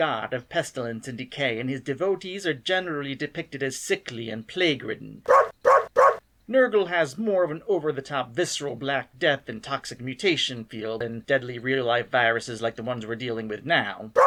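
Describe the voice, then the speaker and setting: In a plain, everyday voice of medium pitch, a man speaks at a fairly quick pace. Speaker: stop motion video creator and announcer. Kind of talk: content warning introduction to camera.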